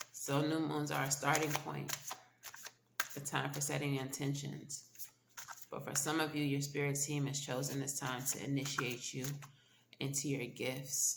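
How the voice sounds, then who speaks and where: Speech at a moderate pace, broken by long, frequent pauses, sits over noticeable background noise. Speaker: tarot reader. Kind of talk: tarot reading. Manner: casual, conversational.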